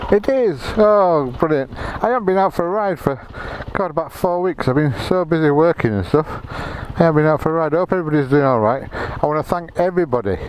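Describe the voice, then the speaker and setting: With noticeable background noise, a man with an English accent speaks at a fairly quick pace, a fairly high pitch and lively intonation. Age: 60s. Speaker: motorcycle vlogger. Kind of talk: casual vlog.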